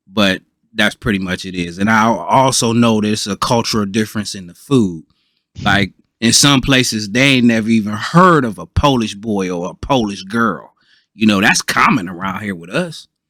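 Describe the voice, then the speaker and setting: With an American accent, a man speaks at a moderate pace in a bright, sharp tone, his loudness swinging widely. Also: fairly low pitch for a man, ordinary pitch variation. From Ohio, US Midwest. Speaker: podcast panelist. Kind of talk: casual chat. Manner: halting, many fillers.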